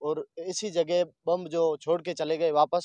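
Fairly slow and fairly even in intonation, the voice has a dark, mellow tone in a dry, close sound with no echo. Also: man.

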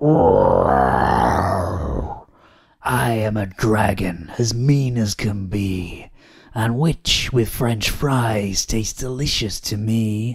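A man bellows loudly in a put-on character voice, raspy and at a medium pitch. He speaks at a very slow pace. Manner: scary and loud.

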